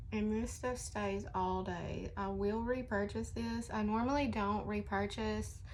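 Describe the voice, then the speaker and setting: A woman's fairly slow, very evenly loud speech with hardly any pauses and audible room echo. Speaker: beauty vlogger. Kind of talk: casual makeup tutorial vlog. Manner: chatty, casual.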